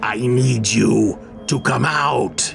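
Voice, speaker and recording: Clear music plays in the background while a man performs in a put-on character voice. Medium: read story. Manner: repetitive, insistent.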